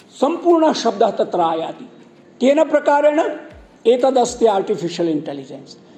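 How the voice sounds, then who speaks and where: A man speaks at an extremely high pitch. Noticeable background noise runs behind him. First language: Gujarati (speaking Hindi). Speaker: Sanskrit scholar and broadcaster. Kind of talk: speech at a college event.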